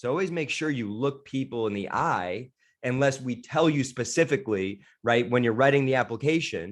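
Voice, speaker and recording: Against a quiet background, a man talks at medium pitch. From New York. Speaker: sales trainer. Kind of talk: training webinar. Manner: fast. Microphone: close to microphone.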